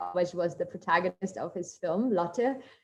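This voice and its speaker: A woman speaks with a German accent at a fairly quick pace. Her pitch varies in an ordinary way. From Germany, coal mining town. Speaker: marine biologist. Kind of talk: guest talk in online workshop.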